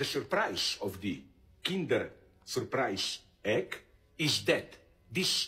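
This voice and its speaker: A man talks at a very slow pace. Faint music plays in the background. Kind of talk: lecture. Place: home room.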